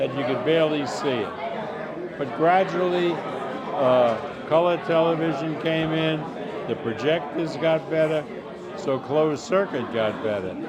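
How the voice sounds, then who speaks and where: Lively intonation marks the fairly slow speech, with noticeable background noise throughout. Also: man, fairly high pitch for a man. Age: 80s+. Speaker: boxing promoter. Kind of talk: interview answer.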